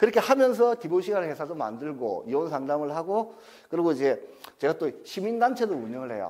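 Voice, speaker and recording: Speaking with a Gyeongsang accent, a man uses a high pitch and very wide pitch swings. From South Gyeongsang, Masan. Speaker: divorce counselor and lecturer. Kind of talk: lecture. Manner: casual, conversational.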